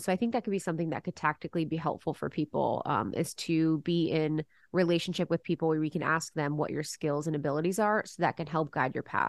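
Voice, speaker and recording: Talking at a very fast pace with hardly any pauses, this speaker has an American accent, ordinary pitch variation, and a dry, close sound with no echo. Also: woman, very deep, low pitch for a woman. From Ohio, US Midwest. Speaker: podcast host. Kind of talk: interview.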